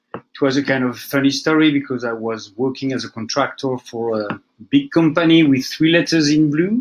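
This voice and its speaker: A man with a French accent talks at a moderate pace and a fairly high pitch, with ordinary pitch variation and hardly any pauses. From France. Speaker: database administrator. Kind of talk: technical conference talk. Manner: casual, with fillers.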